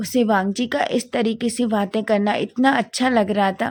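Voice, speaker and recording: A woman at a fairly high pitch and very slow pace, with fairly even intonation, on a very clean recording with a silent background. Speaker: story narrator. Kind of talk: story narration. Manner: halting.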